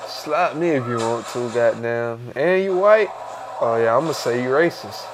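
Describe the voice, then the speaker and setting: Against noticeable background noise, a man with a medium-pitched voice speaks at a moderate pace with lively intonation. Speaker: podcast co-host. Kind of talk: casual chat.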